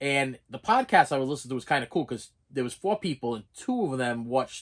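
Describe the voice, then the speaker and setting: A man's fairly high voice at a fairly quick pace, in a very clean recording with a silent background. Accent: Boston. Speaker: collectibles vlogger. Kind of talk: casual vlog. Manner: halting, repeats words.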